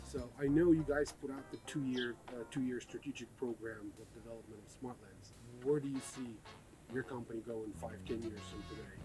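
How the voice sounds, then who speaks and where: Music in the background behind a man's medium-pitched speech. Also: ordinary pitch variation, moderate pace, big swings in loudness. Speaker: interviewer, channel host. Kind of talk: casual interview questions. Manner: upbeat, casual.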